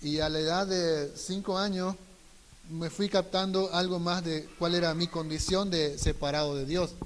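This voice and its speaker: Through noticeable background noise, a man with a high pitch speaks at a very slow pace with fairly even intonation. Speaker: missionary trainee. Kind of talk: testimony.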